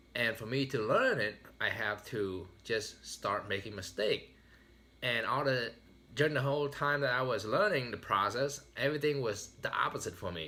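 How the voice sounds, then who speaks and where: With a Vietnamese accent, a man speaks at a moderate pace in a medium pitch, his intonation lively. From Vietnam, raised in US from age ten. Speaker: motivational speaker. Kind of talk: motivational speech.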